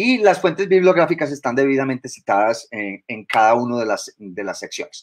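A man speaks at a fairly high pitch, with very wide pitch swings. The background is quiet. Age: 50s. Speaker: biologist and university lecturer; university lecturer. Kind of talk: lecture. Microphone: webcam.

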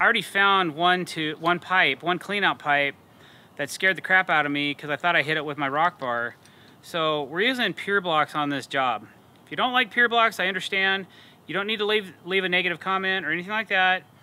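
A man with a high voice speaks fairly quickly, his pitch varying in an ordinary way. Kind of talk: tutorial. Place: garden. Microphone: lapel.

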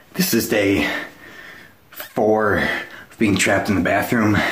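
Fairly low male voice with fairly even intonation and audible room echo. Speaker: comedy vlogger. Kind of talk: comedic skit monologue. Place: bathroom. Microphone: phone near.

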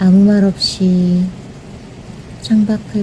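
A woman speaks at a very slow pace with monotone, flat intonation. Background noise is noticeable. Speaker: channel owner, narrator. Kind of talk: soothing rain ASMR narration. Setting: recorded narration over real rain sounds. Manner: soft, gentle, intimate.

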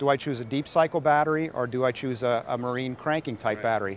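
A man's very fast delivery with ordinary pitch variation, a dry sound with no echo and light background noise. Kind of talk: interview answer. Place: waterside. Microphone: lapel.

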